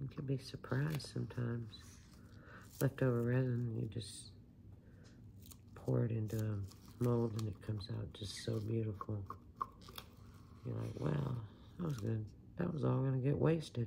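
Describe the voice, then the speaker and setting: A soft-spoken woman with a very deep, low voice uses lively intonation and long, frequent pauses. Audible room echo and noticeable background noise surround her. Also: moderate pace. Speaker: resin craft hobbyist. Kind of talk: casual tutorial chat. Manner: quiet, soft-spoken.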